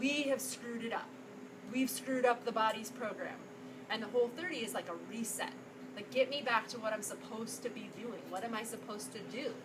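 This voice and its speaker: A woman with a fairly high-pitched voice talks over noticeable background noise. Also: ordinary pitch variation, fairly quick pace. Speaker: psychologist and nutrition workshop presenter. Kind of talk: workshop presentation to live audience. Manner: fast.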